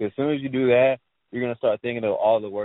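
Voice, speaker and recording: His pitch varies in an ordinary way. The man speaks at a very fast pace. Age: 20s. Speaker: trader and coach. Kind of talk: interview.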